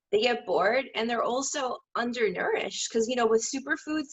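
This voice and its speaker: Animated and fairly quick, a woman speaks at a high pitch with ordinary variation in it. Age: 30s. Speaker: holistic health counselor and fitness trainer. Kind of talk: casual chat.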